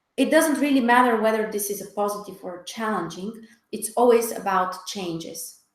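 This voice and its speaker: With audible room echo around her, a woman speaks at a fairly high pitch. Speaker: astrologer. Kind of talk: webinar talk. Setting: online webinar.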